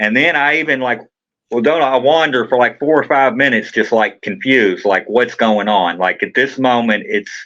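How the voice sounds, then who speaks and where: A man with a Kentucky accent talks at a moderate pace and medium pitch, with ordinary pitch variation and very even loudness. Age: 40s. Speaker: trial defendant. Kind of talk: interview testimony.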